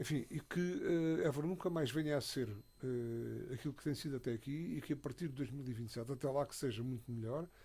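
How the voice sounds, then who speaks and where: Talking at a fairly quick pace, a man uses a somewhat breathy, dark, mellow tone at a fairly high pitch. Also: ordinary pitch variation. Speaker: radio commentator. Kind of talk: radio panel discussion. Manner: halting, many fillers and repetitions.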